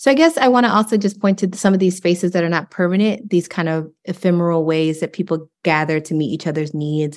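Speaking with an American accent, a woman talks at a very fast pace with hardly any pauses, her pitch fairly low with ordinary variation. The recording is very clean, with a silent background. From rural East Texas. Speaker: professor. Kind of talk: interview.

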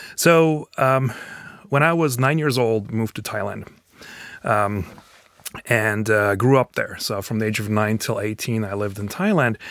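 Speaking at a fairly slow pace with long, frequent pauses, a man with a medium pitch talks with a slight non-native accent. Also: ordinary pitch variation. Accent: slight foreign. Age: 40s. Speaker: professor and new citizen. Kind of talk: interview.

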